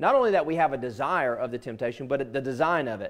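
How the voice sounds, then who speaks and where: Very fast and with lively intonation, a man speaks in a fairly high voice. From US South. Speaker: pastor. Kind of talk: sermon. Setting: church. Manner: earnest, conversational preaching. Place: church.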